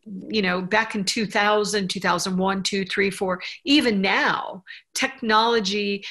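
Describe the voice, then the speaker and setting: A woman speaks at a fairly slow pace. Her medium-pitched voice keeps a fairly even intonation. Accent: American. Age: 60s. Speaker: business owner and accessibility advocate. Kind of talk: interview. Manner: halting.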